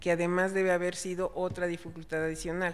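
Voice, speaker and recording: Speaking at a moderate pace, a woman keeps a monotone, flat intonation at a fairly low pitch. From Chiapas, Mexico. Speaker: panel moderator. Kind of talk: panel discussion.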